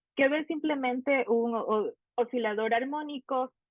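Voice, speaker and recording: A woman talks very slowly, her intonation fairly even. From Ecuador. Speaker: PhD student in physics. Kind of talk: conference talk. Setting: online conference. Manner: halting.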